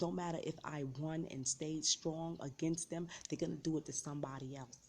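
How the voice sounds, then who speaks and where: Very deep and low in pitch, a woman speaks with a New York accent, a dark, mellow tone and fairly even intonation. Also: hardly any pauses. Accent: New York City. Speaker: vlogger sharing personal story. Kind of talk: personal testimony.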